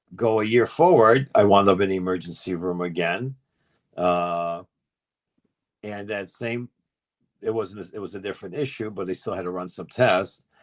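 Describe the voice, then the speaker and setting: Speaking with a New York accent, a man at a fairly low pitch keeps a moderate pace with ordinary pitch variation, big swings in loudness, and long, frequent pauses. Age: 60s. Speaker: insurance expert. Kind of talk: educational talk on group call. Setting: group call.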